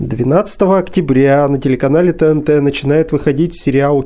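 A fairly slow pace carries speech with a dark, mellow tone. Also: man. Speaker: podcast host. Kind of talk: casual interview chat.

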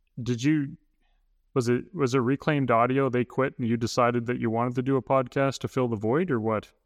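In a western Canadian accent, a man with a medium pitch speaks fairly quickly and with fairly even intonation, the sound dry and close with no echo and the background quiet. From northern Alberta, Canada. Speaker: maker and content creator. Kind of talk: casual chat.

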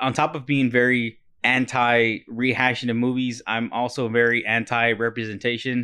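The speech comes in an American accent. It moves at a moderate pace. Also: man, medium pitch for a man. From Texas, Corpus Christi. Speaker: podcast host, movie reviewer. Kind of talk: casual chat. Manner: animated.

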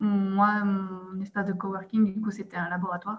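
A woman speaks at a fairly quick pace in a medium pitch, her delivery monotone and somewhat breathy. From Belgium, province of Liège. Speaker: expatriate. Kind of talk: interview. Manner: hesitant, many fillers and repetitions.

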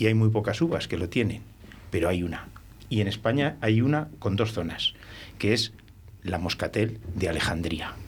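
With long, frequent pauses, a somewhat breathy man speaks at a moderate pace and fairly low pitch with lively intonation. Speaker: winemaker. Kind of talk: casual chat.

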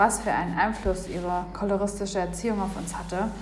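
A woman at a medium pitch talks at a fairly quick pace in a monotone, flat intonation. The recording has noticeable background noise and audible room echo. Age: 20s. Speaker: listener submission. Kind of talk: reading aloud.

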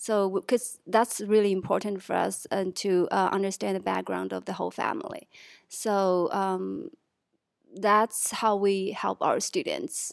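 Speaking at a fairly slow pace with a Chinese accent, a woman is heard on a very clean recording with a silent background. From Chongqing, southwest China. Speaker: assistant college counselor. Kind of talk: casual chat. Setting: studio. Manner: halting.

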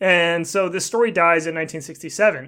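A man with an American accent talks at a moderate pace, his pitch high with ordinary variation and his tone bright and sharp. The recording is very clean, with a silent background. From US Pacific Northwest. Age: 30s. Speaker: podcast host and author. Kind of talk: casual chat.

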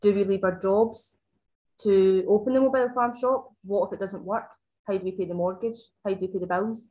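Her intonation holds fairly even. The woman speaks at a moderate pace. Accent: Scottish. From Scotland, Ayrshire. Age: 20s. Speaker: farm shop owner. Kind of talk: casual chat. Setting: in person.

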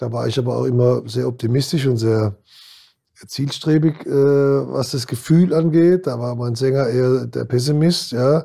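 This man's voice has a dark, mellow tone at a medium pitch. He speaks at a moderate pace with ordinary pitch variation. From Kurpfalz region, Germany. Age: 60s. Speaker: former handball player and band manager. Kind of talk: interview. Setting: studio.

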